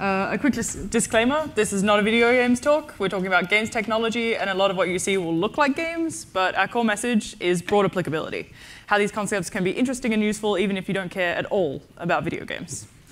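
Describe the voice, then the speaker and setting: The intonation is lively, in an Australian accent. The pace is very fast. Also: woman, medium pitch for a woman, hardly any pauses. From Tasmania, Australia. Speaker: AI and data science researcher, conference speaker. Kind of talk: conference talk.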